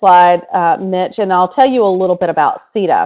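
A woman with a North Carolina accent at a fairly quick pace, over a quiet background. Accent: Southern, North Carolina. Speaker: education technology leader; webinar presenter. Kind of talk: webinar presentation. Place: home room. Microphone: webcam.

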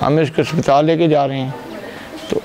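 Music plays in the background. Over it, a man talks. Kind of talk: interview answer. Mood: somber, recounting son's death. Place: home room.

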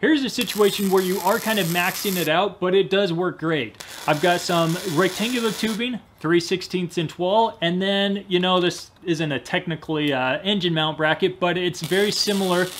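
A man speaks at a moderate pace and a high pitch. His tone is fairly bright, with ordinary pitch variation.

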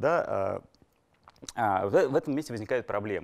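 With a quiet background, a man is talking. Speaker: lecturer. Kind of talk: lecture. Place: classroom.

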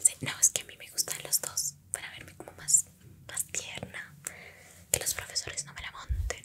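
The speech moves at a moderate pace. Loud background noise fills the recording. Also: woman. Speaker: roleplay host as a schoolmate. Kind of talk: ASMR roleplay chat. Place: home room. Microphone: studio mic.

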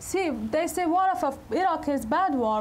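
With light background noise behind her, a woman speaks with an Afghan accent. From Afghanistan. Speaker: politician and women's rights activist; politician. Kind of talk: public speech to an audience; talk answering audience. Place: hall.

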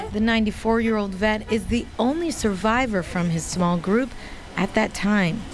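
The voice has ordinary pitch variation and very even loudness, with noticeable background noise. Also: woman, fairly high pitch for a woman, moderate pace. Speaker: community reporter. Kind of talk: news package narration.

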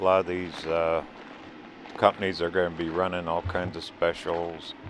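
A man speaks at a fairly slow pace in a very deep, low voice. The sound is dry with no echo, and there is light background noise. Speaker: RV travel vlogger. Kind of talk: casual vlog chat. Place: open country. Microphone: phone near.

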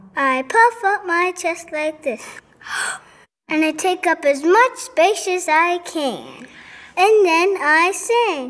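A cartoonish character voice at an extremely high pitch, delivered at a very slow pace. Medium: puppet show. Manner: bright, encouraging.

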